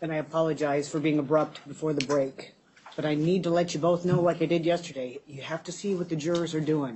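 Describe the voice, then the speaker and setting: An ordinary speaking voice at a moderate pace. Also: woman. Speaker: judge. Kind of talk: courtroom proceedings. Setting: courtroom.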